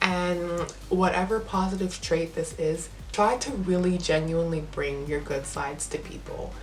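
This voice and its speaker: With hardly any pauses, a woman speaks at a moderate pace amid audible room echo and noticeable background noise. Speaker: vlogger. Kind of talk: casual advice monologue. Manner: animated.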